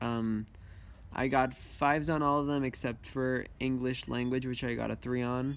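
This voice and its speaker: Over a very clean recording with a silent background, a man with a Spanish accent speaks at medium pitch and moderate pace in a monotone, flat intonation. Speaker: student vlogger. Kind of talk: casual vlog monologue. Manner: hesitant with many fillers.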